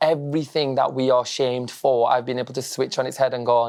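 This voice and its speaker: A man talking at a very fast pace, medium in pitch, flat and monotone, with a northern English accent. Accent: northern English accent, noticeable. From northern England, Blackburn, Lancashire. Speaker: social media comedian, former teacher. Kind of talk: casual interview chat. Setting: stage with live audience, lecture theatre.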